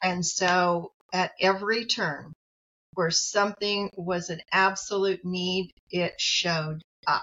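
A woman with an American accent speaks at a very slow pace, her medium-pitched voice holding fairly even intonation. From US Midwest, rural farm community. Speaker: psychologist and professor. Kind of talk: interview conversation.

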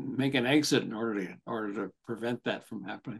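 Over a quiet background, a man speaks at a medium pitch and moderate pace, with vocal fry and ordinary pitch variation. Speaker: podcast host, therapist and author. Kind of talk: casual interview chat.

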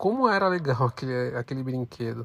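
This man speaks at a moderate pace with an unremarkable speaking voice and a medium pitch. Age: 30s. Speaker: podcast host, student. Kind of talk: scripted narration.

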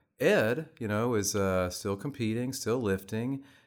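A man speaks with an American accent in an ordinary speaking voice. His pace is fairly slow and his intonation lively. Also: very clean recording, silent background. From Texas, Austin. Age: 50s. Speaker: fitness coach and bodybuilder. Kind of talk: interview.

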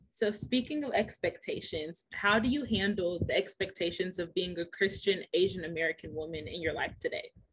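Somewhat breathy medium pitch from a woman, with ordinary pitch variation and hardly any pauses. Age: 20s. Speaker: podcast host. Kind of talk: casual interview.

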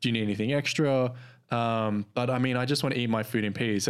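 The recording is very clean, with a silent background. A man with an Australian accent talks at a very fast pace and a medium pitch. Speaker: podcast host. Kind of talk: casual chat.

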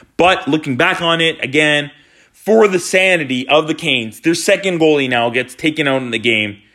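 With lively intonation, a man speaks in a bright, sharp tone at a fairly high pitch. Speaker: hockey podcaster. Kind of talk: solo fan rant. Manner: agitated; heavy sighs.

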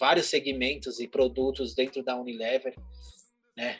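Talking at a moderate pace and a medium pitch, the man has an unremarkable speaking voice. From São Paulo state, Brazil. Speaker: advertising executive. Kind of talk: casual interview chat.

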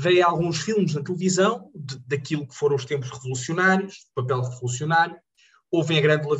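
Fairly high in pitch, a man's voice moves along at a moderate pace. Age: 20s. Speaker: jurist and local politician. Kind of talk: interview. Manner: halting.

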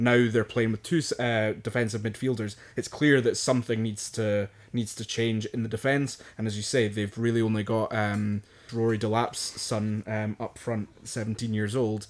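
The man speaks at a medium pitch and a moderate pace. His intonation is monotone and flat. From Scotland. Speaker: podcast co-host. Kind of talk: casual chat about football.

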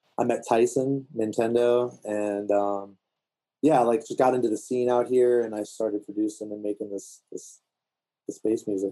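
This man has an American accent and a dark, mellow tone. His intonation stays monotone and flat. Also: medium pitch for a man, moderate pace. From DC/Virginia area (DMV), US East Coast. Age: 30s. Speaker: music producer. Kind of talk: casual chat.

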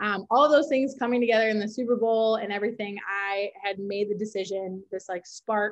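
Speaking at a fairly quick pace with a Minnesotan accent, a woman uses a fairly high pitch with ordinary pitch variation. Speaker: social media coordinator. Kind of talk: casual interview.

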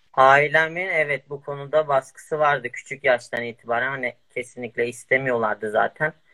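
The voice has a bright, sharp tone and fairly even intonation, moving at a fairly slow pace in a dry, close sound with no echo. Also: man. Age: 20s. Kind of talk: interview.

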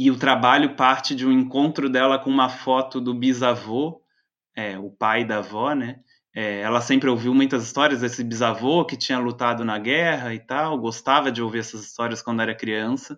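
A man speaks at a medium pitch and a moderate pace, with fairly even intonation over a quiet background. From Brazil, Florianópolis. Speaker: playwright and researcher. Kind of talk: interview conversation. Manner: halting, many fillers.

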